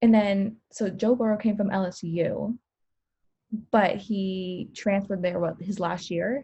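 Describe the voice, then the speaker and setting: Long, frequent pauses break up this woman's fairly slow speech. Her voice is somewhat breathy, dark and mellow, with fairly even intonation. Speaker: sports podcast co-host. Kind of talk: casual chat.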